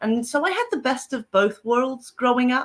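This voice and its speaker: In a South African accent, a woman speaks fairly slowly with a bright, sharp tone and ordinary pitch variation. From Zimbabwe and South Africa. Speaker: paranormal author and psychic. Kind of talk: interview guest.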